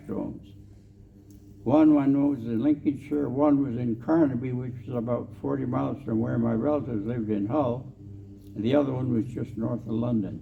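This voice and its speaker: A man with a Canadian Prairie accent speaks at a moderate pace and medium pitch with ordinary pitch variation. Audible room echo colors the recording. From Canadian Prairies, Saskatchewan. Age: 80s+. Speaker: war veteran. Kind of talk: storytelling talk. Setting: convention stage with audience.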